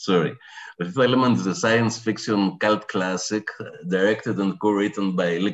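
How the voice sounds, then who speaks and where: Over a quiet background, a man with a Greek accent talks in a fairly low pitch. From Greece. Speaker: professor. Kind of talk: lecture. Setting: video call. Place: home room. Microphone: video call.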